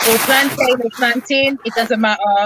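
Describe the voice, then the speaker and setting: A woman's high-pitched voice with fairly even intonation, amid noticeable background noise. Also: dry, close sound with no echo. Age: 20s. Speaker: caller on livestream. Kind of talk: casual group chat.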